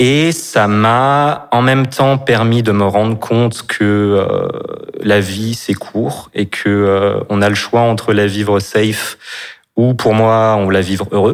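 A man at a very slow pace, fairly low in pitch, with ordinary pitch variation and very even loudness. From Brittany, France. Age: 30s. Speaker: store manager and actor. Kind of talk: personal testimony in interview.

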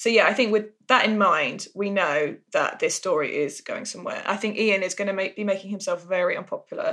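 At a fairly quick pace, a woman with an English accent talks in a medium pitch. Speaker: soap podcast co-host. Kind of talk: casual chat.

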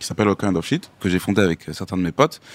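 Dry and close with no echo, a man's very deep, low voice moves at a fairly quick pace with ordinary pitch variation. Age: young. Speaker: hip-hop artist. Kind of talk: podcast interview.

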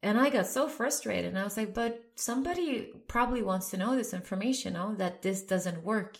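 A woman's voice with lively intonation and hardly any pauses, in audible room echo. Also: fairly high pitch for a woman, fairly quick pace. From Sweden. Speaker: career coach. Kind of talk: interview.

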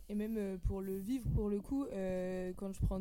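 A woman's voice of medium pitch and dark, mellow tone at a fairly slow pace, with audible room echo. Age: 20s. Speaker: youth project coordinator. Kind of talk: casual chat.

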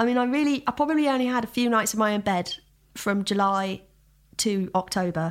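A woman with a London accent speaks at a moderate pace, her fairly high voice carrying lively intonation. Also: very clean recording, silent background. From Southeast London. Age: 20s. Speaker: musician. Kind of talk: casual chat.

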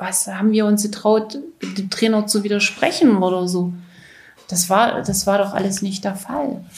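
Audible room echo surrounds a woman speaking at a fairly slow pace and medium pitch, with ordinary pitch variation. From Saxony-Anhalt, East Germany. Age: 60s. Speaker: former athlete. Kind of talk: interview testimony.

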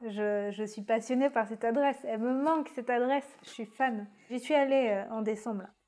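This is an unremarkable speaking voice. It has ordinary pitch variation and a moderate pace. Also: woman. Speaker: podcast host interviewer. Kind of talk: casual interview chat.

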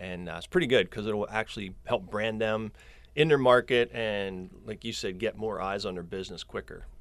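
In a very clean recording over a silent background, a man speaks at a moderate pace with a fairly low pitch and ordinary pitch variation. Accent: Central Pennsylvania. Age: 50s. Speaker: social media marketer, former landscaping business owner. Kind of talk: casual interview chat. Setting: studio.

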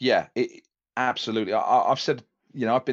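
A man with an English accent at a fairly quick pace, against a quiet background. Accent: English, non-Yorkshire. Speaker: radio DJ and drummer. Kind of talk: casual interview chat.

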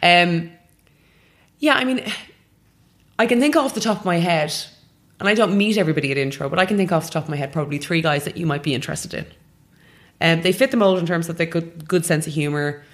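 With an Irish accent, a woman speaks at a very fast pace yet with long, frequent pauses, her fairly low pitch carried by lively intonation. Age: 30s. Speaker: matchmaker. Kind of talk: interview. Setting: matchmaking office.

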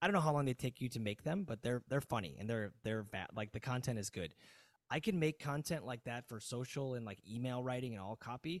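In an American accent, a man with an unremarkable speaking voice talks at a medium pitch and a fairly quick pace with lively intonation, on a very clean recording with a silent background and a dry, close sound with no echo. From US Midwest, Chicago suburbs (Aurora). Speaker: yoga teacher and entrepreneur. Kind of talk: casual chat.

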